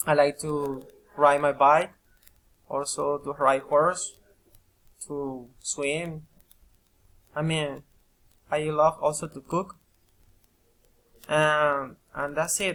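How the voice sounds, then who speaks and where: A man with a Colombian accent speaks at a very slow pace and a fairly high pitch. His intonation is monotone and flat, broken by long, frequent pauses. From Colombia, Caribbean coast. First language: Spanish. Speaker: English student and part-time teacher. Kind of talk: recorded self-presentation for a course. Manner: halting, many repetitions.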